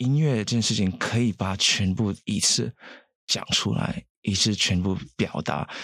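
A man talks at a fairly slow pace in a fairly low pitch, with ordinary pitch variation and very even loudness. The recording is very clean, with a silent background. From Saint Lucia. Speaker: singer. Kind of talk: interview. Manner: halting.

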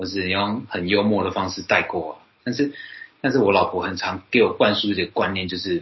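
A man with an unremarkable speaking voice talks at a moderate pace and a fairly low pitch. His pitch variation is ordinary, while his loudness swings widely. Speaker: podcast host. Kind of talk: casual chat.

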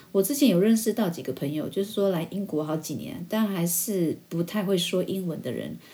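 A woman speaks at a fairly quick pace with a Taiwanese accent and a fairly low pitch. Her tone is dark, mellow and somewhat breathy, with ordinary pitch variation. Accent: Taiwanese Mandarin. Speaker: podcast host. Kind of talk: casual monologue.

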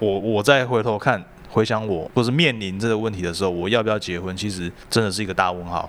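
Noticeable background noise sits behind a man talking very fast. His fairly low voice shows ordinary pitch variation. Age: 30s. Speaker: podcast co-host. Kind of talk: casual chat.

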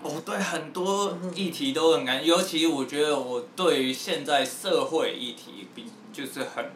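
A man with lively intonation at a fairly slow pace, audible room echo and noticeable background noise around him. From Taiwan, Taipei. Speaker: rapper. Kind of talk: casual chat.

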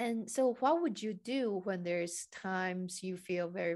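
This woman has a plain, everyday voice. She speaks in a medium pitch at a fairly slow pace. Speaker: podcast host and Chinese coach. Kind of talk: interview, casual conversation.

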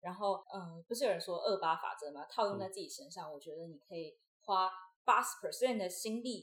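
Here is a woman with a medium pitch. She has an unremarkable speaking voice. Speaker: university student and former acrobatic performer. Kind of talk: interview conversation.

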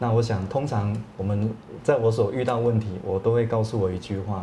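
Over audible room echo, a man at medium pitch talks at a moderate pace with fairly even intonation. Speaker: real estate agency owner. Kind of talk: interview. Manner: halting.

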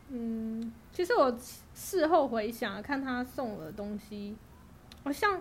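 Her high voice moves very slowly with lively intonation, big swings in loudness and long, frequent pauses as the woman speaks. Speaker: guest sharing working holiday stories. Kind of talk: casual chat. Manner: calm and even.

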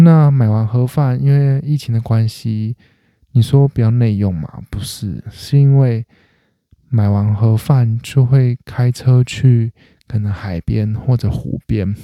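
A man speaks very slowly with a Taiwanese accent, his pitch medium and his tone dark and mellow. The sound is dry and close, with no echo. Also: ordinary pitch variation. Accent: Taiwanese Mandarin. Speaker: comedy podcast host. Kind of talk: casual solo monologue.

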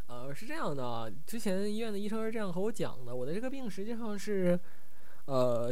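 At a fairly quick pace, a man with a slight Northeast Chinese accent makes very wide pitch swings. There is audible room echo and noticeable background noise. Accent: slight Northeastern Mandarin. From Northeast China, Changchun. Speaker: podcast host. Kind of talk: casual solo livestream chat. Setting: live stream.

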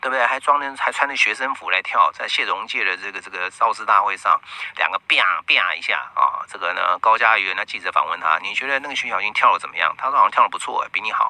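A man talks at a very fast pace with hardly any pauses. The sound is dry and close with no echo, though background noise is noticeable. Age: 50s. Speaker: radio host and astrologer. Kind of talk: radio monologue. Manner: filler-heavy, frequent 啊 and 哦.

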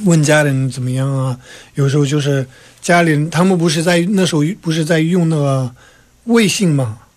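With ordinary pitch variation, a man talks at a fairly high pitch. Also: moderate pace. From Tibet, Lhasa. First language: Tibetan (speaking Chinese). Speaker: exile government civil servant. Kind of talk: radio interview.

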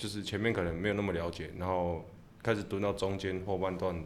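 A man speaks with a very deep, low pitch. Audible room echo surrounds his voice. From Taiwan, Tainan. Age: 20s. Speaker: baseball catcher. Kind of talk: interview.

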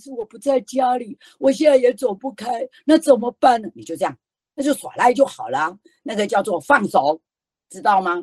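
A woman's high-pitched voice at a moderate pace, with very wide pitch swings, big swings in loudness, and a dry, close sound with no echo. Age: 60s. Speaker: author and children's storyteller, education association founder. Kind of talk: online book talk. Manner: animated.

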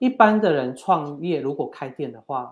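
Here is a man with an unremarkable speaking voice and lively intonation. The recording is very clean, with a silent background. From Taiwan, Yunlin (Gukeng). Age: 30s. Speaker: entrepreneur, company head. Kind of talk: interview.

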